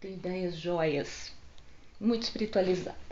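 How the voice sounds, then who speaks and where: Woman at a moderate pace, with audible room echo. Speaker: holistic psychotherapist. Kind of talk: casual vlog book recommendations. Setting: home video recorded on phone. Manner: animated. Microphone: phone mic.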